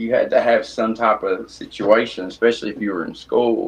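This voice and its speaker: A man mumbling at a moderate pace in a Tennessee accent. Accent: extreme Tennessee country. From East Tennessee, Blount County near Knoxville. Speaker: custom shoe artist. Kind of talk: casual chat.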